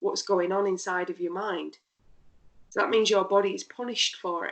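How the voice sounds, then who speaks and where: In a British accent, a woman with a fairly high pitch talks at a moderate pace with ordinary pitch variation. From UK. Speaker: pain therapist. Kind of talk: interview. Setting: podcast.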